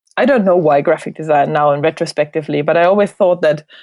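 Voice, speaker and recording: A woman with a German accent talks very fast at a fairly low pitch. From Germany (Hildesheim area, Lower Saxony). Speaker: designer. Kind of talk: interview.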